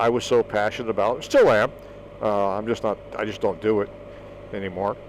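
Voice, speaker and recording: Noticeable background noise sits behind a man who speaks fairly quickly. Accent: American. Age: 60s. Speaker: vlogger. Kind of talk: casual monologue. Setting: outdoors.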